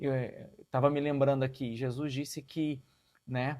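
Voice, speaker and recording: A man with fairly even intonation, in a very clean recording with a silent background. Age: 50s. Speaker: pastor. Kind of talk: interview conversation. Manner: halting.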